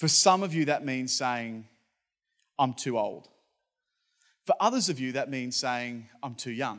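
A medium-pitched man in an Australian accent, at a fairly slow pace with long, frequent pauses, in a very clean recording with a silent background. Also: ordinary pitch variation. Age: 30s. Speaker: pastor. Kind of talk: sermon.

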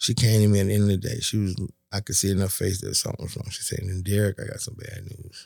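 A man with a fairly low voice talks very fast in a flat monotone, somewhat breathy, on a very clean recording with a silent background. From US South, West Palm Beach, Florida. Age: 60s. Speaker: barbecue restaurant owner. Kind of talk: testimony.

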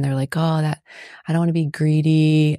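This woman's voice sits very deep and low with a dark, mellow tone, recorded very cleanly over a silent background with a dry, close sound and no echo. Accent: American. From US South, South Florida (Palm Beach County). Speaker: finance and real estate entrepreneur. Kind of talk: casual interview.

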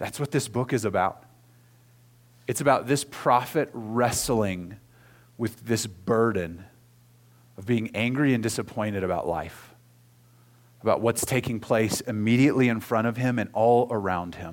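A man with an American accent speaks at medium pitch with ordinary pitch variation and long, frequent pauses. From Oklahoma. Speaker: pastor. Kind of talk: sermon.

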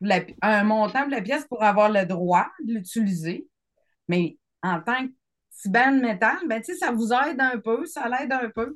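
At a fairly slow pace, an ordinary speaking voice rises and falls with lively intonation. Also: woman, fairly high pitch for a woman. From Quebec City. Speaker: music publishing student. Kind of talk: casual chat.

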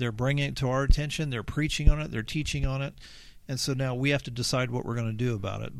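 In a very clean recording with a silent background, a man at a medium pitch has a normal speaking voice and fairly even intonation. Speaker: church member, guest. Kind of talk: casual chat. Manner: earnest, preacherly.

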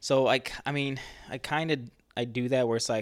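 A man with an unremarkable speaking voice talks at medium pitch with fairly even intonation, on a very clean recording with a silent background. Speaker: podcast host, fitness. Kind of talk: casual chat.

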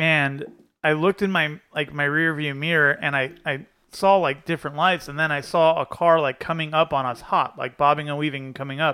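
Fairly quick speech with an American accent. It's an ordinary speaking voice with fairly even intonation. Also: man, fairly high pitch for a man. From Pennsylvania, near Scranton. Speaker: air suspension shop owner. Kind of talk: casual chat.

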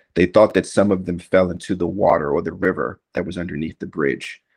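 The words come at a fairly quick pace in an American accent. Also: man. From Washington, D.C. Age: 40s. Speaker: retired army sergeant, veteran. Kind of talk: oral history interview.

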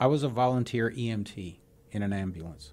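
An American man has a plain, everyday voice at a medium pitch. His intonation is lively. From Houston, Texas (arrived from Cuba as a child). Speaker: former politician and air force veteran. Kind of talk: interview. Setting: studio.

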